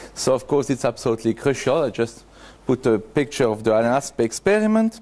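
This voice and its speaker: Talking at a very fast pace, a man uses lively intonation and a dark, mellow tone, his loudness very even. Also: medium pitch for a man. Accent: French. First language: French. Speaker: conference speaker. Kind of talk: conference talk. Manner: halting, with hesitations.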